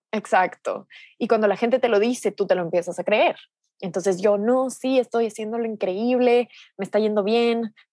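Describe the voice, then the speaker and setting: The sound is dry and close, with no echo. A woman speaks with fairly even intonation. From Ecuador. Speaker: digital nomad entrepreneur and coach. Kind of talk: podcast interview.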